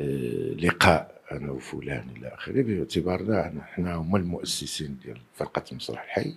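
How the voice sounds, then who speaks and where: With vocal fry and a very deep, low pitch, a man talks at a fairly slow pace using lively intonation. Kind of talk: interview answer. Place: home room. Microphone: handheld.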